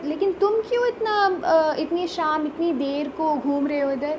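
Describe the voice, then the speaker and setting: Noticeable background noise behind a high-pitched woman with lively intonation. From Mangalore, Karnataka, India. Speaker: storyteller. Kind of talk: children's story narration.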